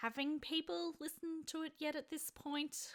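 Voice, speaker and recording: Taking a fairly slow pace, a woman is speaking. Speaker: vlogger and aspiring writer. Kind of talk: casual vlog monologue. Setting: home recording at desk. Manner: halting, with stutters.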